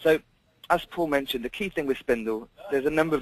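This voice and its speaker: Against light background noise, a man speaks at a very fast pace with ordinary pitch variation, the sound dry with no echo. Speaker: software demonstrator. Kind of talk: tutorial. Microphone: video call.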